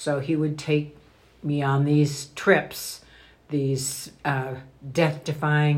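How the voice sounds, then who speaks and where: A woman speaks with a very deep, low pitch. Her intonation is flat and monotone. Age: 80s+. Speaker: grandmother, guest. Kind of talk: personal interview. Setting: in person, Idaho.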